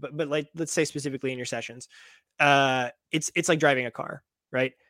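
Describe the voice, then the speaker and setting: This man has a normal speaking voice, fairly high in pitch with ordinary variation. He talks at a fairly quick pace in a very clean recording with a silent background. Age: 30s. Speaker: movement coach and fitness content creator. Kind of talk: casual interview chat. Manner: calm.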